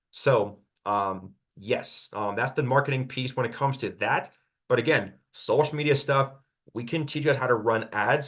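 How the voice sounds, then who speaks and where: The background is quiet. A man speaks at a medium pitch with ordinary pitch variation. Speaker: real estate agent. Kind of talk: webinar Q&A presentation. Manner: fast; animated.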